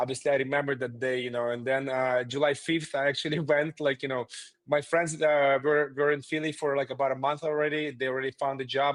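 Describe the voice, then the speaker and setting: A man with a Russian accent speaks at a fairly quick pace with hardly any pauses. His pitch is fairly high and his intonation monotone and flat. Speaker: remodeling company founder. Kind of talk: interview. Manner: hesitant, many fillers.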